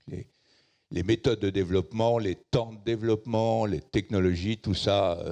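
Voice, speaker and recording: Over a quiet background, a man talks at a moderate pace. His intonation is fairly even. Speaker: tech entrepreneur, conference speaker. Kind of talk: keynote talk. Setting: stage with audience. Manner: hesitant fillers (euh).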